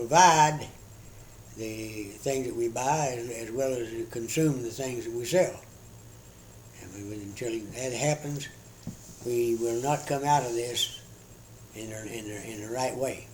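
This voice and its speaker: In a room with audible echo, a man with an American accent and a medium pitch speaks fairly slowly, with ordinary pitch variation, big swings in loudness, and long, frequent pauses. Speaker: retired government employee. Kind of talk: interview. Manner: halting.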